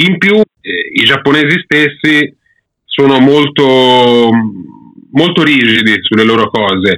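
The delivery is very slow, with lively intonation, long and frequent pauses, and very even loudness. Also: man, fairly high pitch for a man. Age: 30s. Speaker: manga YouTuber, former comics student. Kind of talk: casual interview chat.

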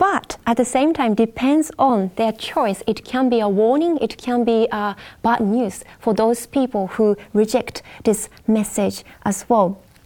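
Slowish and fairly high-pitched, a woman speaks with ordinary pitch variation and very even loudness. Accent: Japanese. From Japan. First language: Japanese. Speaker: Bible study panelist. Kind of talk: Bible study panel discussion. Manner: halting, with fillers.

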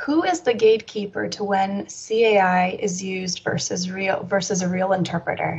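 An ordinary speaking voice at a fairly slow pace with ordinary pitch variation. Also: woman. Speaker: audience question moderator. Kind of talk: reading audience questions.

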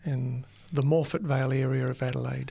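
A man's fairly high, somewhat breathy voice comes at a moderate pace on a very clean recording with a silent background. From New Zealand. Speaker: university dean and teacher. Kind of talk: casual interview, testimony. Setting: studio.

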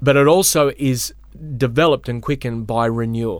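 A man talks with an Australian accent. His pace is moderate and his pitch variation ordinary. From Australia, Melbourne. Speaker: pastor. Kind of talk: teaching conversation.

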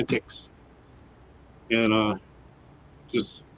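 A man speaks at a medium pitch with a Michigan accent. The sound is dry and close, with no echo. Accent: Michigan (Inland North) American. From Michigan, Detroit area and Grand Rapids. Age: 60s. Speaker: formerly homeless advocate running a nonprofit. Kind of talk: casual interview. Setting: studio.

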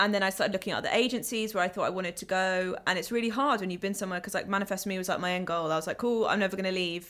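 A woman with a London accent at a very fast pace, with fairly even intonation and hardly any pauses, in a very clean recording with a silent background. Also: medium pitch for a woman. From West London, England. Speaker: PR account director. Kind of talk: casual chat.

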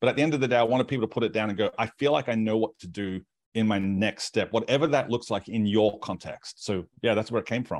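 A man talks at a very fast pace with hardly any pauses, at medium pitch with ordinary pitch variation. The sound is dry and close with no echo, against a quiet background. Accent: Australian. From Australia. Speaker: pastor and author. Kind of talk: casual interview.

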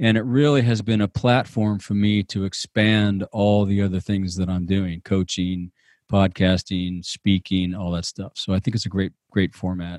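A man with an unremarkable speaking voice and fairly low pitch talks at a moderate pace with hardly any pauses and fairly even intonation. The recording is very clean with a silent background and a dry, close sound with no echo. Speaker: outdoor industry podcaster and business coach. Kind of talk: casual interview chat.

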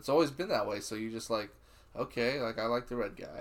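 Using an ordinary speaking voice at a medium pitch, a man talks at a fairly quick pace. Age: 30s. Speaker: podcast co-host. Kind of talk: casual chat.

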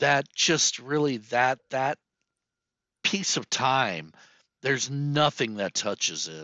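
The speaker is a man with an American accent. His voice sits at a medium pitch. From US, emigrated from Czechoslovakia as small child. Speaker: tech company employee. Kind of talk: casual interview. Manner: animated.

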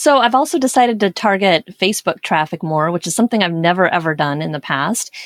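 With an American accent and lively intonation, the speaker moves at a fairly quick pace in a dry, close sound with no echo. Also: woman. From US Pacific Northwest, Portland, Oregon. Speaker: blogger and former radio journalist. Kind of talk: interview.

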